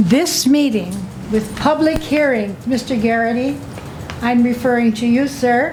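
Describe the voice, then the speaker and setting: Against music in the background and audible room echo, a woman with a high pitch speaks at a fairly slow pace, her intonation lively and her loudness very even. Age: 80s+. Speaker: resident testifying at public hearing. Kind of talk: public testimony. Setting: county board meeting. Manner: formal.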